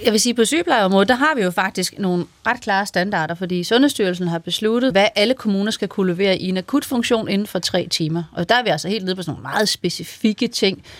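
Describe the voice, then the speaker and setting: A woman at a medium pitch, very fast pace with hardly any pauses, and ordinary pitch variation. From Vendsyssel, northern Jutland, Denmark. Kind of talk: radio discussion, interview. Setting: studio.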